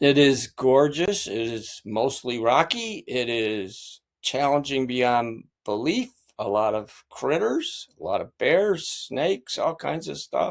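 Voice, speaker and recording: In an American accent, the speaker talks very slowly with lively intonation on a very clean recording with a silent background. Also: man, fairly high pitch for a man. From upstate New York. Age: 80s+. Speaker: lawyer and long-distance hiker. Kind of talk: interview.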